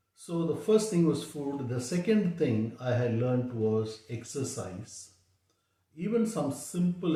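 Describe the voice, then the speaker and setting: Somewhat breathy and dark, mellow in tone, a man speaks at a very slow pace. His intonation is lively, and the room's echo is audible. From South India (Chennai). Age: 60s. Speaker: diabetes health vlogger. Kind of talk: personal testimony. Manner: halting, many fillers.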